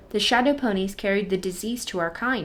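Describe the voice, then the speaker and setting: Using a put-on character voice at a medium pitch, a woman talks at a fairly quick pace over light background noise. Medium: read story. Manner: blunt, terse.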